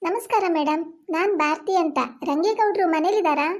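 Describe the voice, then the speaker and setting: A woman uses a put-on character voice, squeaky and extremely high in pitch. She speaks at a fairly slow pace. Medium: cartoon. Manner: polite, deferential.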